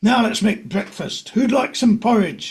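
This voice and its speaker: Using a raspy put-on character voice, a man speaks at a moderate pace with a high pitch. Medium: read story. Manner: bossy, self-assured.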